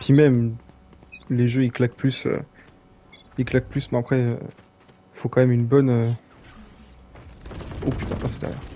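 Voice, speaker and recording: Noticeable background noise sits behind a man speaking at a moderate pace and medium pitch. His intonation is monotone and flat, broken by long, frequent pauses. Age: 20s. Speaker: gaming streamer. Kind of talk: live gameplay stream chat. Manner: casual, hesitant with fillers.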